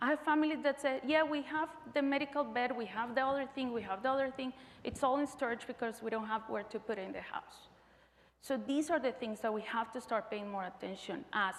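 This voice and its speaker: A woman with a Spanish accent talks at a high pitch and a fairly quick pace. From Colombia. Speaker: physician. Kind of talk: conference presentation.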